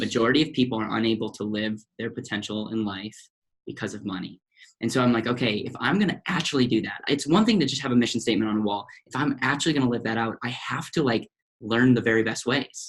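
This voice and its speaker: Very fast speech with an American accent. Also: man, medium pitch for a man, ordinary pitch variation. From US Midwest, central Wisconsin. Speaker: financial advisor. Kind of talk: podcast interview. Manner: animated.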